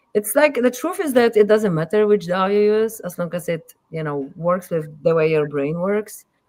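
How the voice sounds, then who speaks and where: At a moderate pace, a woman talks with lively intonation in a Polish accent. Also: medium pitch for a woman. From Poland. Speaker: musician and audio engineer. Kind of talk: casual interview chat. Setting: live streamed podcast.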